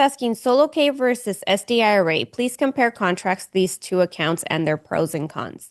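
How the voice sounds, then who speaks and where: Against a quiet background, a loud woman speaks at a moderate pace with very wide pitch swings. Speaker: retirement account specialist. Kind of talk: live webinar Q&A. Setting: online webinar. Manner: fairly loud.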